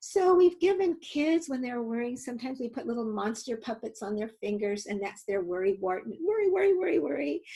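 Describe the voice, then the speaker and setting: A woman's squeaky, high voice with a dark, mellow tone, very wide pitch swings, a fairly quick pace and hardly any pauses. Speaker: nonprofit founder and safety educator. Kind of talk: webinar presentation. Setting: online webinar.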